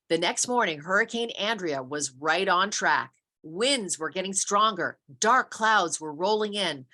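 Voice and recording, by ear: A voice reads aloud naturally, with little noise in the background.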